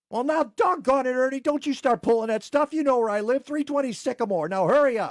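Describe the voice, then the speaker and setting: Putting on a character voice, a man speaks extremely high and very fast with lively intonation and hardly any pauses, in a dry, close sound with no echo. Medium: comedy sketch.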